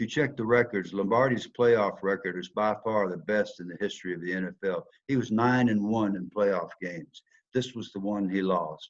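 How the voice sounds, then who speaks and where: A man speaks with a Southern US accent in a fairly low voice. His pace is moderate and his pitch varies in an ordinary way. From US South. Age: 70s. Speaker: former football player, speaker. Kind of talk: motivational talk.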